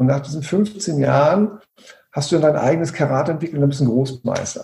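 A man's fairly high voice has vocal fry, a dark, mellow tone and ordinary pitch variation. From Hamburg, northern Germany. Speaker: coach and trainer. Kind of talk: podcast interview.

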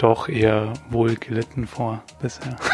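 This man speaks at a medium pitch with a Bavarian accent. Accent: noticeable Bavarian-tinged speech. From Bavaria, Upper Palatinate (Weiden). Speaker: trainee journalist. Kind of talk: casual chat. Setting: studio.

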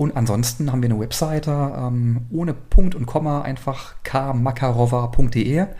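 A man speaks at medium pitch in a somewhat breathy, dark, mellow tone with ordinary pitch variation. He barely pauses, and audible room echo is present. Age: 30s. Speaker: fashion brand owner. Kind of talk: casual interview. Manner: hesitant with frequent fillers.

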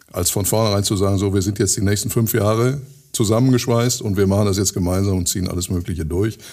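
A man with a fairly low pitch talks at a very fast pace, with ordinary pitch variation. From Ruhr area, Germany (Hattingen), teen years in Switzerland. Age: 60s. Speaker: mayor. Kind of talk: interview.

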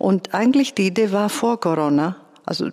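A woman with a Greek accent. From Greece, Athens. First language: Greek (speaking German). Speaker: composer and conductor. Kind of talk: interview. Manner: somewhat halting.

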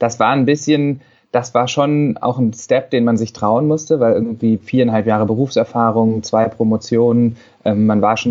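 At a moderate pace, a man speaks in an unremarkable speaking voice at medium pitch with fairly even intonation. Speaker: paediatrician. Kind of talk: interview.

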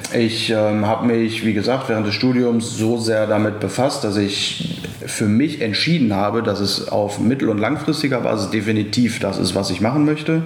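Ordinary pitch variation from a male speaker, plus noticeable background noise and audible room echo. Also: medium pitch for a man, moderate pace, hardly any pauses, very even loudness. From Ruhr area, Essen (Germany). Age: 20s. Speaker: young family business successor. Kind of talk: podcast interview. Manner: halting, many filler sounds.

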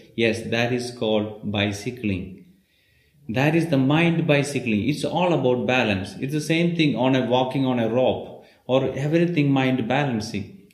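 Speaking at a moderate pace, a man is heard with audible echo from the room. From India, Kerala. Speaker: Ayurveda practitioner. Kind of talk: interview.

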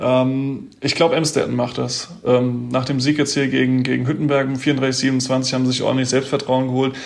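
Speaking at a moderate pace with hardly any pauses, a man with a medium pitch keeps a monotone, flat intonation amid audible room echo. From Mainz, Germany. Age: 20s. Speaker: handball player. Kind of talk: casual interview. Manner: hesitant with fillers.

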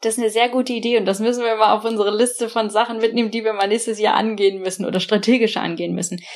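Flat and monotone, a woman's fairly high voice races at a very fast pace. She leaves hardly any pauses. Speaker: tech founder and investor. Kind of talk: interview. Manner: hesitant, with fillers.

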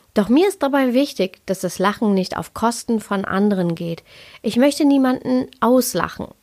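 The woman's lively intonation comes through on a very clean recording with a silent background. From Ruhr area, Germany. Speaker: yoga and Ayurveda podcaster. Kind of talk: podcast monologue. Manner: laughs often.

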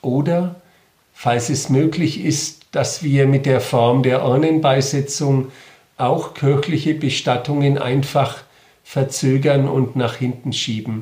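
A man speaks at a very slow pace with a fairly high pitch and a dark, mellow tone. His voice is somewhat breathy and his intonation fairly even. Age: 50s. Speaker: Protestant regional bishop. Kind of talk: interview statement. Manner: formal.

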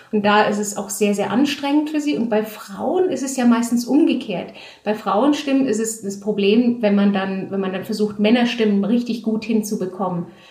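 A woman with a fairly high pitch talks at a moderate pace with hardly any pauses. Noticeable background noise and audible room echo are present. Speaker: audiobook and theatre director. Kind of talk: casual interview. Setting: at home, in her flat. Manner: hesitant, many filler sounds.

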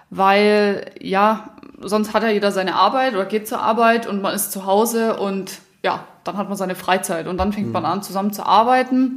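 Noticeable background noise runs under this recording. A woman of medium pitch talks at a moderate pace with fairly even intonation. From southern Germany, Allgäu. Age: 20s. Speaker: company co-founder. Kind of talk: casual chat.

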